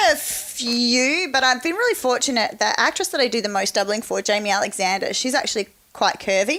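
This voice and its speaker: In an Australian accent, a woman speaks at a fairly quick pace with a raised, projected voice, a high pitch, very wide pitch swings, very even loudness and hardly any pauses, over noticeable background noise. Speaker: stunt performer, survival expert. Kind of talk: interview answer.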